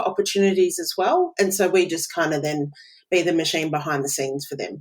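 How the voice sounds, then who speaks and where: Recorded very cleanly against a silent background, a woman with an Australian accent speaks at a fairly low pitch. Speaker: business automation consultant. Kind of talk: podcast interview.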